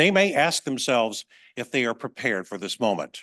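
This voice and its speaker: With a bright, sharp tone, a man speaks in an American accent against a quiet background. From US, Maryland Eastern Shore. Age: 70s. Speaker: author. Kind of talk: reading aloud; talk. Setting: museum event with audience.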